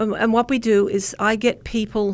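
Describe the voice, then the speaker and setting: A woman with an Australian accent speaks at a medium pitch. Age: 70s. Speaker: community political organiser. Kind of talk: radio interview. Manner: halting.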